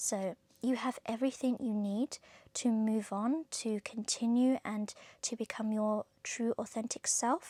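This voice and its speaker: With a southern English accent, this dark, mellow voice moves at a fairly slow pace, the sound dry and close with no echo. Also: woman, very clean recording, silent background. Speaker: tarot reader. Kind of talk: tarot reading monologue. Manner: occasional stutter; casual, chatty.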